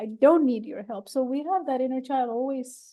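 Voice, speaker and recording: A woman's high-pitched voice, dark and mellow in tone, with a non-native accent. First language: not English. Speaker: podcast host. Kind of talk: casual chat.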